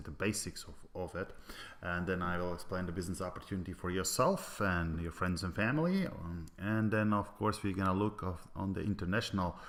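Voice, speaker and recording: In a Latvian accent, a man speaks with a very deep, low pitch. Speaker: business presenter. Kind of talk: sales pitch. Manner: halting, many fillers.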